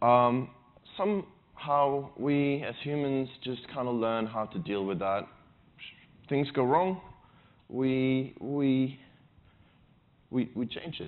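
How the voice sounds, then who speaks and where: Pausing long and often, a man talks at a very slow pace with a medium pitch and ordinary pitch variation. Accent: Swedish. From Sweden. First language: Swedish. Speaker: conference speaker. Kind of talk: conference talk. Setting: stage with audience. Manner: halting, with repeated words.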